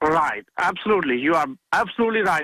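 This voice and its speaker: A man with a Pakistani accent speaks at a very fast pace. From Pakistan, village. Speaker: caller. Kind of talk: radio call-in. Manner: halting.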